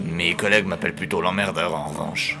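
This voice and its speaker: A man's put-on character voice, very deep and low, at a fairly quick pace over loud background noise. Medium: audio drama. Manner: casual, slangy.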